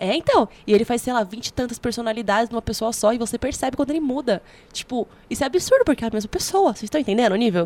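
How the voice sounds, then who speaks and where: A woman talks at a very fast pace with lively intonation. Her voice sits at a high pitch. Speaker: podcast co-host. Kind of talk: casual chat. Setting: studio.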